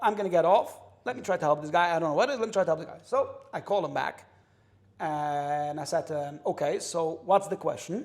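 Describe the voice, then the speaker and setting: This loud voice has an American accent. Its tone is animated. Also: man. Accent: New York Hasidic English. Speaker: kosher industry insider. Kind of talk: casual interview chat.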